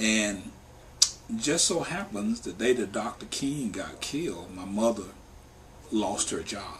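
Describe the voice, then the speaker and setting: A man at a fairly slow pace with long, frequent pauses and ordinary pitch variation, amid noticeable background noise. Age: 50s. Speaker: worker justice organization staff member. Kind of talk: interview testimony.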